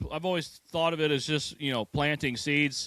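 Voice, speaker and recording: In a very clean recording with a silent background, a man with a fairly high pitch speaks in a bright, sharp tone. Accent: American. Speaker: metal musician. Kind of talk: interview. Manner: animated.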